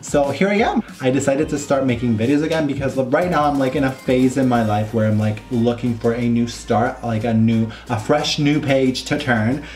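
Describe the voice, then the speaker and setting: The speech runs with hardly any pauses and very even loudness. Music plays in the background, and there is audible room echo. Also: man, medium pitch for a man, ordinary pitch variation, moderate pace. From Italy (Rome). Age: 20s. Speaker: makeup artist and beauty YouTuber. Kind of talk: makeup tutorial vlog. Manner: animated.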